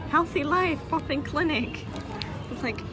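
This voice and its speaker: Clear music fills the background. Over it, a woman talks. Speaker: vlogger. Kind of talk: casual vlog chat. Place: shop. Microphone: phone near.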